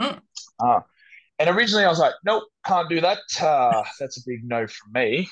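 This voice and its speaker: A man's high-pitched voice with very wide pitch swings, a moderate pace and long, frequent pauses. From Australia. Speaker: fitness model and personal trainer. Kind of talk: casual chat. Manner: animated.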